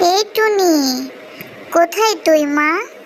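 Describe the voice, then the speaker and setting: A squeaky, put-on character voice at an extremely high pitch, with clear background noise. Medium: cartoon.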